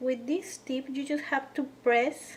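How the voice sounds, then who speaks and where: A woman with a non-native accent, at a very slow pace with ordinary pitch variation. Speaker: cookie decorating instructor. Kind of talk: tutorial. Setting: home kitchen.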